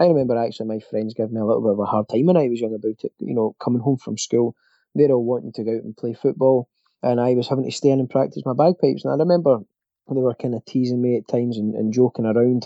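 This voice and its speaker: A man with a Glasgow accent speaks at a very fast pace with ordinary pitch variation. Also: medium pitch for a man. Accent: Scottish (Glasgow). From Scotland. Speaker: bagpipe player and instructor. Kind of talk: interview. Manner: halting, many fillers and repetitions.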